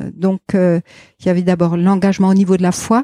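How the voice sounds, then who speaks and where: At a moderate pace, the voice carries a dark, mellow tone in a dry, close sound with no echo. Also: woman. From Alsace, France. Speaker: pastor. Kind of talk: interview conversation. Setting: outdoors on garden terrace.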